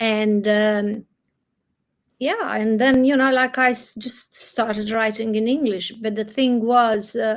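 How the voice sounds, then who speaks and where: At a very slow pace and with monotone, flat intonation, a woman with a Croatian accent speaks at a fairly high pitch in a very clean recording with a silent background. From Croatia, Adriatic coast. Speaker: novelist. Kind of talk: interview conversation. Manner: halting.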